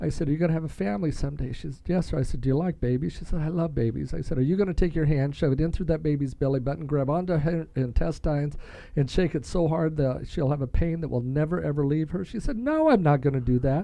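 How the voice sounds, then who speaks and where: A man with a fairly high pitch and dark, mellow tone speaks at a very fast pace with ordinary pitch variation and hardly any pauses. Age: 60s. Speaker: cancer survivor family member, military veteran and coach. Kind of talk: casual chat. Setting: studio.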